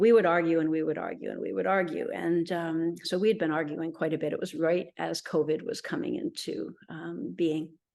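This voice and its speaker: A woman's fairly low voice with vocal fry, ordinary pitch variation and a moderate pace over a quiet background. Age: 60s. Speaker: interviewee sharing health story. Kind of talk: interview testimony.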